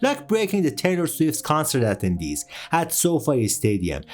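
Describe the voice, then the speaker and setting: A fairly slow delivery with a Persian accent. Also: man. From Iran. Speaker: music podcast host. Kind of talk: documentary narration.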